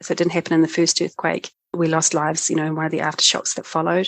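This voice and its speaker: Against a quiet background, a woman with a New Zealand accent speaks at a fairly low pitch. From New Zealand, North Island. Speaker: cognitive scientist, disaster recovery expert. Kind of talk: interview, personal story.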